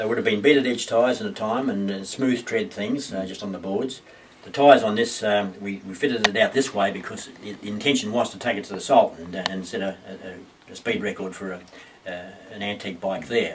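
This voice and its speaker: A man with an Australian accent talks at a fairly quick pace in a fairly low pitch, with ordinary pitch variation and big swings in loudness over noticeable background noise. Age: 70s. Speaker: motorcycle racer and builder. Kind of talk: interview answer.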